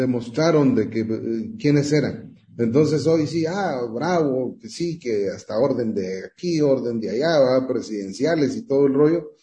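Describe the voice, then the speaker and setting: Somewhat breathy and dark, mellow in tone, a man speaks at medium pitch with lively intonation amid audible room echo. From Guatemala. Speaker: music industry manager. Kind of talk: radio interview.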